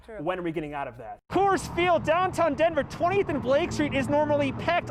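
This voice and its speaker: Over noticeable background noise, a man with an American accent talks in an energetic tone at a fairly quick pace. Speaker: sports anchor and reporter. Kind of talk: TV sports news anchor/reporter delivery. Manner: energetic, punchy.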